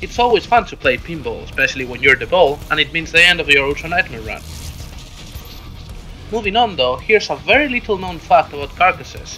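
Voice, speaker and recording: A man at a fairly quick pace with big swings in loudness, music in the background. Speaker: gamer. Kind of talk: game tutorial narration. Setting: home recording, poor sound quality.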